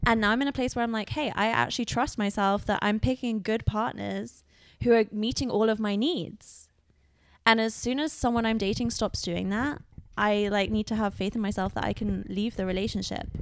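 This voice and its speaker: A woman with a British accent, fairly high-pitched, fairly even in intonation and fairly quick in pace, on a very clean recording with a silent background. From Britain. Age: 30s. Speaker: podcast co-host. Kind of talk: casual chat.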